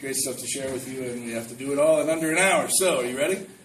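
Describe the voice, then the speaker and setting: There is noticeable background noise and audible room echo. A man talks with an American accent. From Ohio. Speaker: moderator and road manager for actors. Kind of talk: live panel moderation. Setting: room with live audience.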